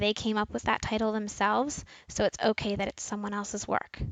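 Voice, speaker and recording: A woman speaks with a northeastern US accent. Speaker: school librarian. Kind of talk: tutorial.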